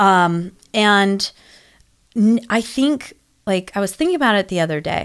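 With a normal speaking voice, a woman talks at a moderate pace and medium pitch, her intonation lively, in a very clean recording with a silent background. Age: 30s. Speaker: abstract painter. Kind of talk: casual chat.

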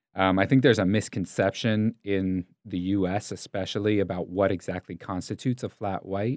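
An unremarkable speaking voice at a moderate pace, fairly even intonation, and a very clean recording with a silent background. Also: man, fairly low pitch for a man, hardly any pauses. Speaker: coffee shop owner. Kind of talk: casual interview chat.

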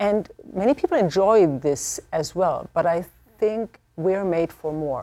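The voice has a dark, mellow tone and a German accent, moving at a fairly slow pace. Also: woman, medium pitch for a woman. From Germany. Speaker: theology professor. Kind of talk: panel discussion.

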